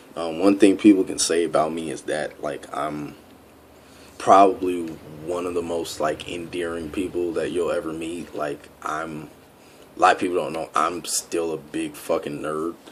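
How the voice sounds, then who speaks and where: Over noticeable background noise, a man with a very deep, low pitch talks at a moderate pace in a flat monotone, his loudness swinging widely. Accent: American. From US, Staten Island and moving around. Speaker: fitness project applicant. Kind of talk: personal vlog monologue. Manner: rambling, filler-heavy; casual, unscripted.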